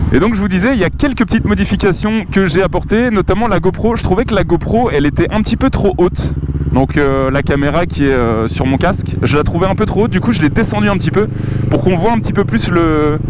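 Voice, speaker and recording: The pitch swings very widely while the loudness stays very even. The pace is fairly quick, with noticeable background noise behind it. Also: man, high pitch for a man. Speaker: motovlogger. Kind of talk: casual chat while riding a motorcycle. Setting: riding a motorcycle on the road. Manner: hesitant, many fillers.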